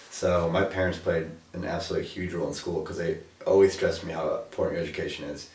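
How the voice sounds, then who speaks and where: A man with an American accent speaks at a fairly quick pace. Audible room echo surrounds his voice. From Ohio, US. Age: 20s. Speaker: college student. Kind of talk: interview.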